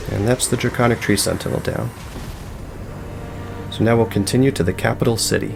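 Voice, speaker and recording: With music in the background, a man at a medium pitch speaks with fairly even intonation, very even loudness, and long, frequent pauses. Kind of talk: soft-spoken gaming tutorial narration, relaxed commentary over gameplay. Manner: soft-spoken, relaxed, calm.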